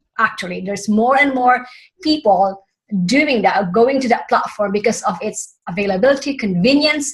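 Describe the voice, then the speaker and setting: With a Filipino accent, a woman speaks at a moderate pace, her pitch high and her intonation lively. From Philippines. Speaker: summit host. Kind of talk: interview.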